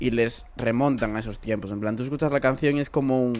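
With a dark, mellow tone, the voice moves at a moderate pace with fairly even intonation. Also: man. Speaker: podcast host. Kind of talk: casual chat. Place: home room. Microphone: studio mic.

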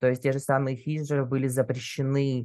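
A man's voice over a quiet background. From Russia. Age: 20s. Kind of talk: casual chat.

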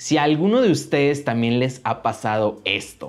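The speaker is a man with a Mexican accent and a fairly high pitch. He talks at a moderate pace with lively intonation. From Mexico. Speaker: YouTuber. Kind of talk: vlog monologue. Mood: complaining but friendly. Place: studio.

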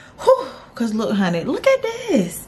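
A woman's voice comes through with music in the background. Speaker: vlogger. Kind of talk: casual vlog chat.

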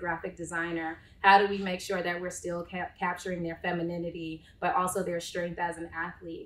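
Moving at a moderate pace, a woman talks at a fairly low pitch with a bright, sharp tone. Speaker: marketing executive moderating a panel. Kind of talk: panel discussion. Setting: live panel with audience in the room. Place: meeting room. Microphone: camera far.

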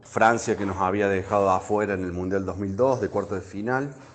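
Moderate pace and fairly low pitch from a man, amid noticeable background noise. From Argentina, Córdoba. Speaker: former Olympic volleyball player. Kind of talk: interview testimony.

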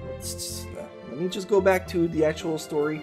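Clear music plays in the background. The speaker talks at a very slow pace in a French Canadian accent. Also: man. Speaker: anime youtuber. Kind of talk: casual anime review talk to camera. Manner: casual, hesitant. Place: home room.

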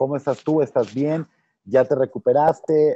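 Over light background noise, a man's dark, mellow voice comes through in a dry sound with no echo. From Mexico, Tampico, Tamaulipas. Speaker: youtube interviewer. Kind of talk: interview. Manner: halting, repeats words. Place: hall. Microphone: earbuds.

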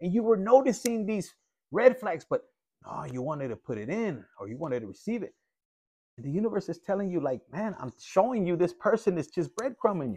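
A man talks at a fairly quick pace in a dark, mellow tone. His pitch swings very widely, and his loudness rises and falls a lot. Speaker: tarot reader. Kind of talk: casual tarot reading commentary. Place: home room. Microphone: phone near.

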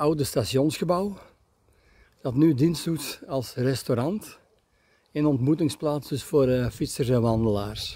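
A man's somewhat breathy voice, very slow and broken by long, frequent pauses, with ordinary pitch variation and a dry sound with no echo. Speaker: camper travel vlogger. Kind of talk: casual vlog commentary. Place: street. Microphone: phone near.

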